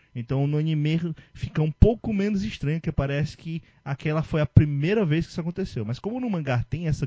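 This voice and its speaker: A somewhat breathy male voice at a moderate pace. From Ceará, Brazil. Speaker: podcast host. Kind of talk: casual chat.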